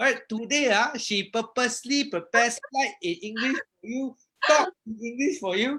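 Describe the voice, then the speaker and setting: Bright and sharp in tone, a man with a Malaysian accent speaks at an extremely high pitch. His voice is raised and projected, with ordinary pitch variation. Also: moderate pace. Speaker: property investor and live-stream host. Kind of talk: live stream introduction. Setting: Facebook live stream. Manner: animated.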